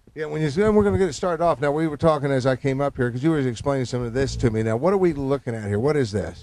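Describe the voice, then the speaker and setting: A man's fairly high voice at a very fast pace, lively intonation and hardly any pauses. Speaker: infomercial host. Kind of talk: infomercial host talk. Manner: upbeat, chatty.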